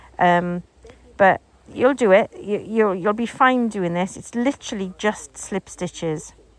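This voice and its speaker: Speaking at a fairly slow pace, a woman with an English accent has a medium-pitched voice with ordinary pitch variation and big swings in loudness. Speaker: crochet teacher. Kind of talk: tutorial. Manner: casual, hesitant with fillers.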